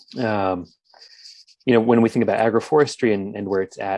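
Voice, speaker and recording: A man with an American accent speaks in a dark, mellow tone and fairly even intonation. The background is quiet, and the sound is dry with no echo. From Philadelphia, Pennsylvania; Pennsylvania. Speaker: urban forester; conference presenter. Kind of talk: conference presentation. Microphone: webcam.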